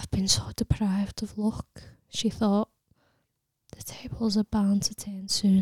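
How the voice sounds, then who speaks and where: At a fairly slow pace and with long, frequent pauses, a woman speaks at a medium pitch in a somewhat breathy voice with monotone, flat intonation, recorded with a dry, close sound and no echo. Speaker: audiobook narrator. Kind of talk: literary audiobook reading, narrated prose. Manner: steady, measured storytelling delivery.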